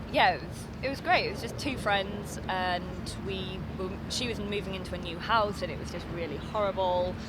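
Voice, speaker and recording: A woman speaks with a Yorkshire accent. Noticeable background noise and audible room echo are present. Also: moderate pace. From East Yorkshire, northern England. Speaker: actress. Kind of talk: interview. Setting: outdoors in a park.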